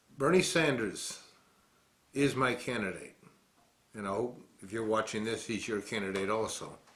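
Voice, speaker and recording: A man with an American accent talks with ordinary pitch variation and big swings in loudness, leaving long, frequent pauses. There is audible room echo. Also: medium pitch for a man, moderate pace. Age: 60s. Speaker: war veteran, political commentator. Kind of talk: political commentary monologue.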